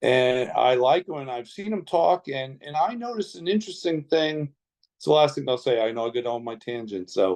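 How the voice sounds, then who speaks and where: Talking at a fairly quick pace, a man of medium pitch uses lively intonation and big swings in loudness. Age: 60s. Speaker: interviewer. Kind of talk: interview. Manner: halting, many fillers.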